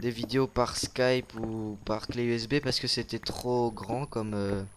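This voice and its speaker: The delivery is very slow, with a monotone, flat intonation. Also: man, medium pitch for a man. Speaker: gaming YouTuber. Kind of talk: casual gameplay commentary. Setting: recording together at home. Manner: loud.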